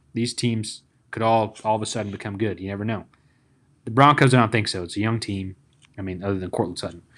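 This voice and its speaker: Speaking very fast in a fairly low pitch, a man with a Tennessee accent leaves long, frequent pauses. The background is quiet. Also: fairly even intonation. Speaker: sports podcast host. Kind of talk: casual chat.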